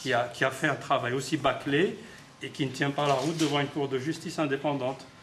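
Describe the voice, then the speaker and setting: A man with a fairly high voice at a fairly quick pace, with audible room echo. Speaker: human rights activist. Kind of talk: press conference. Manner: halting, many repetitions.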